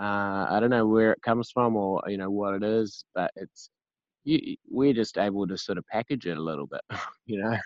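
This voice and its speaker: A New Zealand-accented man at a fairly low pitch, moderate pace and ordinary pitch variation. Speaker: singer-songwriter in recovery. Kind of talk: casual interview. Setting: remote call.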